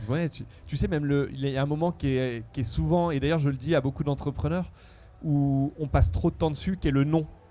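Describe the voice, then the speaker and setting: A man with a fairly high pitch and a dark, mellow tone talks at a fairly quick pace on a very clean recording with a silent background. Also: ordinary pitch variation. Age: 40s. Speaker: entrepreneur. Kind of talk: interview. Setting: outdoors at music festival. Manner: hesitant with fillers.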